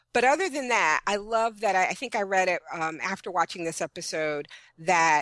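Bright and sharp in tone, a woman with an American accent speaks at a medium pitch with lively intonation. The sound is dry and close with no echo, over a quiet background. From Brooklyn, New York. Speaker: website founder and TV fan commentator. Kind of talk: casual chat.

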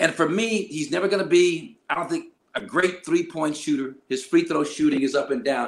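With an American accent, a man speaks at a high pitch for a man and a moderate pace, using lively intonation and hardly any pauses. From Los Angeles, US West Coast. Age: 60s. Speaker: retired basketball player and TV analyst. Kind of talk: casual interview. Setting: video call.

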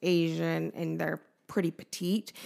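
A woman with a western US accent speaks at a fairly slow pace. The recording is very clean and the background silent. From Utah (Nephi), adopted from Korea at 3. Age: 30s. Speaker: cupcake shop owner. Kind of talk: casual chat interview.

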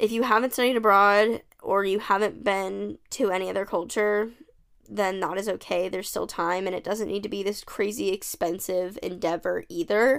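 A woman's unremarkable speaking voice with an American accent, a medium pitch and ordinary pitch variation, at a moderate pace on a very clean recording with a silent background. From United States. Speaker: podcast host. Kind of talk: casual monologue. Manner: chatty, filler-heavy.

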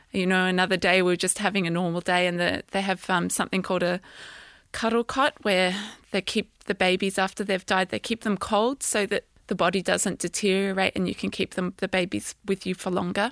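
A woman with an unremarkable speaking voice, medium in pitch, talks at a fairly quick pace with fairly even intonation and very even loudness, in a dry, close sound with no echo over a quiet background. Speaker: bereaved parent and obstetrician. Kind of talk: testimony. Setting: studio.

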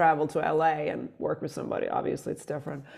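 This woman has a Swedish accent and a fairly low pitch. Her intonation stays fairly even. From Sweden. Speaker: electropop musician. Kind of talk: casual interview chat. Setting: video call.

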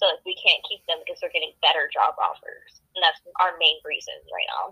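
This woman talks at a moderate pace. The sound is dry and close, with no echo. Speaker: podcast guest. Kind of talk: casual, conversational. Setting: phone.

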